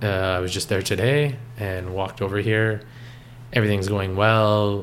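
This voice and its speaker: Using a normal speaking voice, a man with a Canadian accent and a fairly low pitch speaks at a moderate pace with ordinary pitch variation. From Canada, Toronto area (Richmond Hill). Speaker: coffee shop co-owner, former accountant. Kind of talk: interview.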